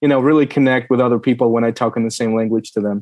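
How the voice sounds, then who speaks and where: A man with a Russian accent. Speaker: supply chain specialist. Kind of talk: interview.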